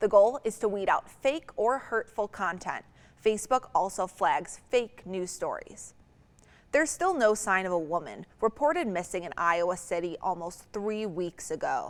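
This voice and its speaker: This is a plain, everyday voice with lively intonation. The pace is moderate. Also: woman, medium pitch for a woman. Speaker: television news anchor. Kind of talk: TV evening newscast anchor read. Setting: studio.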